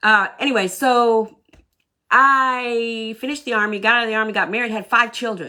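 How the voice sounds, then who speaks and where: A woman's animated, bright and sharp voice, fairly high in pitch, at a moderate pace with a Southern US accent. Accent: sounds Southern US. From southern Maine, US. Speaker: Army veteran and workshop coach. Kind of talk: live online workshop talk. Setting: livestream. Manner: talkative.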